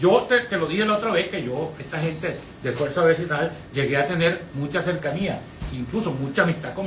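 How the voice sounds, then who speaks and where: Through audible room echo and noticeable background noise, a high-pitched man talks at a fairly quick pace with lively intonation. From Venezuela. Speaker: lawyer, historian and former electoral official. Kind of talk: radio interview.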